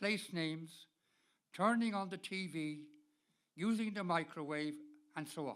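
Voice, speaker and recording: A man with a Dublin accent and a high pitch for a man speaks at a fairly slow pace, using ordinary pitch variation and long, frequent pauses. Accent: Irish (Dublin). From Ireland, Dublin. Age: 80s+. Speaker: person living with Alzheimer's, speaker. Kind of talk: prepared talk to an audience.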